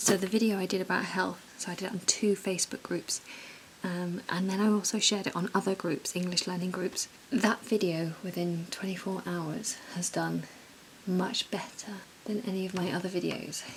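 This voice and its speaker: Noticeable background noise sits behind a woman speaking at a moderate pace. Her pitch is medium, and her intonation is monotone and flat. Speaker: YouTuber vlogger. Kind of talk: vlog, casual monologue. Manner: halting, repeats words; speaking quietly.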